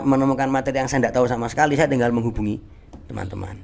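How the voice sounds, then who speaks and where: A man is speaking. He has an East Javanese accent. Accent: East Javanese Indonesian. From Indonesia, Banyuwangi, East Java. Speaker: Japanese language teacher. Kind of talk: casual podcast interview. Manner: hesitant with repetitions.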